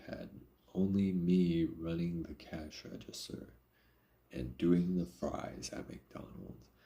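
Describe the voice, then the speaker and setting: A man speaks at a very slow pace in a very deep, low voice, his tone dark and mellow and his intonation fairly even. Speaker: live streamer. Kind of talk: casual chat. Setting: live stream. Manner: casual, conversational.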